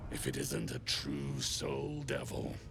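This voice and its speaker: Over loud background noise, a man puts on a character voice and speaks at a fairly slow pace. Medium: machinima. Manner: gruff, crude.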